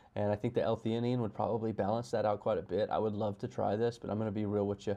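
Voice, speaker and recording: A man talks at a very fast pace, his pitch medium and his tone dark and mellow. The background is quiet. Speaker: reaction video creator. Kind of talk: casual commentary. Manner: halting, stuttering; casual, slangy.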